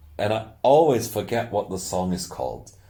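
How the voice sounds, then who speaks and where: Speaking in a strong German accent at a moderate pace, a man with a dark, mellow tone and vocal fry uses very wide pitch swings. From Austria. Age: 30s. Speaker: youtuber. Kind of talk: casual monologue. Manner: halting. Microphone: poor audio quality.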